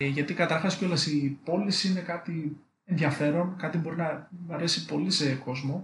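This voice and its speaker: Here is a man with a normal speaking voice and a fairly high pitch. His intonation stays fairly even at a moderate pace. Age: 20s. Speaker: electrical engineer. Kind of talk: casual interview chat.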